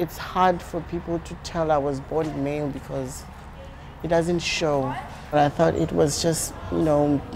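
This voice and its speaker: A woman at a fairly slow pace with fairly even intonation amid noticeable background noise. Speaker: interviewee. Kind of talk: interview answer. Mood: earnest, reflective. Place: hall. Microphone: lapel.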